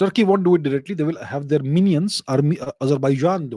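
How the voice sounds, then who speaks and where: The sound is dry and close, with no echo. A man speaks at a fairly high pitch in a dark, mellow tone with lively intonation. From India, partly raised in Europe. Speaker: geopolitics commentator answering viewer questions. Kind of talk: live Q&A show. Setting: livestream. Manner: casual, hesitant with frequent repetitions.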